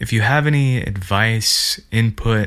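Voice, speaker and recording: Speaking at a very slow pace in a Montana accent, a man uses a fairly low pitch with ordinary pitch variation. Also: very clean recording, silent background. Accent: American, Montana. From central Montana. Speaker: podcast host, woodworker and maker. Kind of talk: solo podcast monologue. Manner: casual, enthusiastic.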